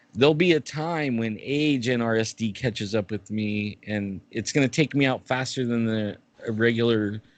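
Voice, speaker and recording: A man with a normal speaking voice talks at a moderate pace with hardly any pauses, his medium pitch showing ordinary pitch variation against a quiet background. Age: 60s. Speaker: guest with chronic pain condition, bigfoot YouTuber. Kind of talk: casual interview chat.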